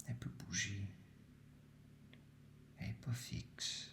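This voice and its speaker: A man whispers in a Quebec accent. His pace is very slow. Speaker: meditation guide. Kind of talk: guided sleep meditation. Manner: soft-spoken, slow.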